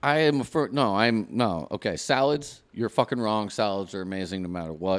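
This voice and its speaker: A man's normal speaking voice, fairly low in pitch, with lively intonation at a moderate pace on a very clean recording with a silent background. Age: 40s. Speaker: podcast co-host. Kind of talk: casual chat.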